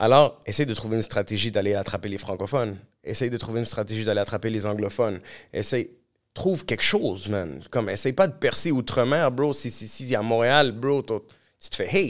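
An animated tone at a moderate pace, with ordinary pitch variation. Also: man, medium pitch for a man. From Montreal, Quebec. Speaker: musician. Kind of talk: casual interview. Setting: studio.

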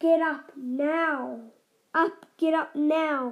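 A woman puts on a character voice that is high-pitched and shrill. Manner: bossy, commanding.

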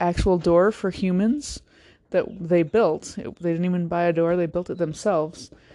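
This woman has an unremarkable speaking voice, fairly low in pitch with fairly even intonation. She talks at a moderate pace over a quiet background. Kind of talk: mock traffic report, playful deadpan news-anchor banter. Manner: deadpan, joking, trading lines with co-anchor.

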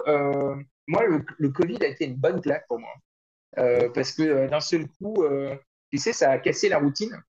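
The speaker has a plain, everyday voice. The pace is fairly slow. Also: man. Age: 40s. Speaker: start-up executive. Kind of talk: interview.

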